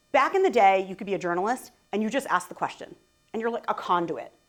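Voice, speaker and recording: A woman's animated tone with very wide pitch swings, at a fairly quick pace. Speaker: conference speaker. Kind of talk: conference talk. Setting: stage with audience. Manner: fast.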